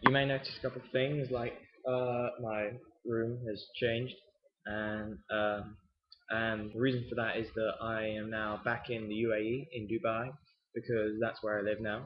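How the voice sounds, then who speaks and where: A man with an English accent speaks at a fairly slow pace, medium in pitch, with fairly even intonation. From England. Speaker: miniature painting hobbyist vlogger. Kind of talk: casual video update and painting tutorial. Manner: hesitant, many fillers.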